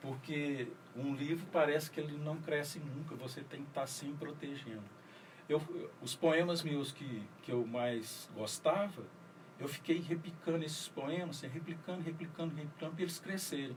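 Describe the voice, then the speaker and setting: Amid audible room echo, a man talks at a fairly high pitch with ordinary pitch variation. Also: moderate pace. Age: 60s. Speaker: writer and poet. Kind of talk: radio interview. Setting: radio studio.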